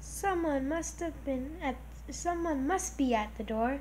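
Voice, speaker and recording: A woman uses a put-on character voice at a fairly slow pace. Background noise is clearly heard. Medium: read story.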